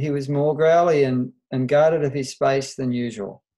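In an Australian accent, a man's dark, mellow tone unfolds at a fairly slow pace. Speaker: veterinarian. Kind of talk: interview.

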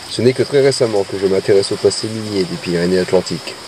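Fairly quick speech in a dry recording with no echo, against noticeable background noise. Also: man. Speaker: mine explorer narrator. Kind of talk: documentary narration. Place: tunnel cave.

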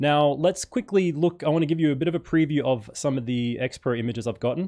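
A man speaks with an Australian accent and a dark, mellow tone. His intonation is lively, his pace fairly quick, and the background quiet. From Perth, Western Australia; Western Australia. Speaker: photography YouTuber. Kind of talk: live stream chat and unboxing. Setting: at home. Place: home room. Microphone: studio mic.

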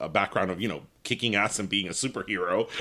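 He speaks with an American accent. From Miami, Florida, Cuban American. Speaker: podcast co-host. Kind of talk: casual interview. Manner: nervous giggling.

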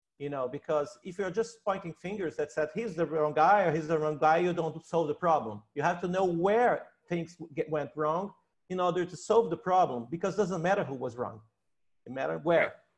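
A man with a Portuguese accent speaks at a moderate pace with a high pitch and ordinary pitch variation. The background is quiet. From Brazil. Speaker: researcher and science educator; science educator. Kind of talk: panel discussion. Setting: video call. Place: home room. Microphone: earbuds.

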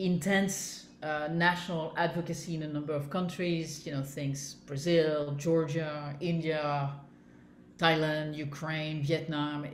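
A woman with a very deep, low pitch and monotone, flat intonation at a fairly slow pace, with light background noise and audible room echo. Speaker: interviewee. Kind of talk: interview answer. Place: home room.

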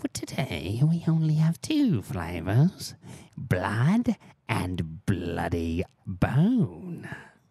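A put-on character voice speaks low in a sinister tone. It moves at a very slow pace with very wide pitch swings. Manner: evil, sinister.

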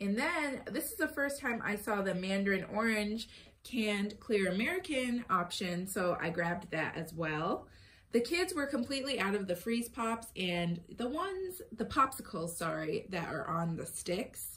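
A woman's voice moves through very wide pitch swings against light background noise. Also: moderate pace. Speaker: mom vlogger. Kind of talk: casual vlog chat. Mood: cheerful, upbeat. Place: home room. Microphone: phone near.

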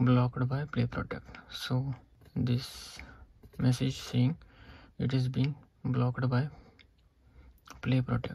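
A dark, mellow tone at a fairly slow pace, monotone and flat, in a dry sound with no echo over a quiet background. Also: man. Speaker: tech demonstrator. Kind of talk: tutorial. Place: home room. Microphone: phone near.

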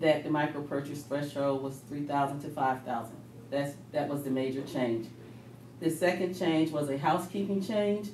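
The speech moves at a moderate pace. The room echo is audible, with light background noise. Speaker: presenter. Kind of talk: meeting report. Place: meeting room. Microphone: camera far.

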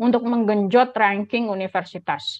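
This woman has an unremarkable speaking voice at a medium pitch. She talks at a fairly quick pace with fairly even intonation. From Indonesia. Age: young. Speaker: scholarship alumna speaker; speaker. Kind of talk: presentation. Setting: video call. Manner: casual and chatty. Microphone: video call.

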